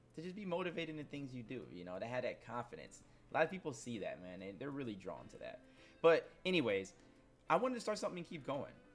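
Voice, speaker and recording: A man's animated, very fast delivery, with very wide pitch swings, big swings in loudness and music in the background. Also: fairly high pitch for a man. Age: 20s. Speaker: gaming streamer and YouTuber. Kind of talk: casual vlog monologue. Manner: casual, animated.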